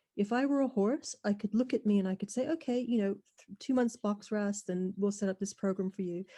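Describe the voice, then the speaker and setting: A woman speaks at a fairly quick pace with a fairly high pitch, ordinary pitch variation, a dark, mellow tone and a somewhat breathy quality, in a dry, close sound with no echo. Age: 60s. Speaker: webinar attendee asking a question. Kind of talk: audience question in a webinar Q&A. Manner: halting.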